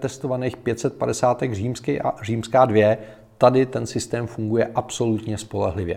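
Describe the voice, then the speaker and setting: A man's dark, mellow voice at a very slow pace. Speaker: tech podcaster and headphone reviewer. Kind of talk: casual product review monologue. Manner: animated, chatty.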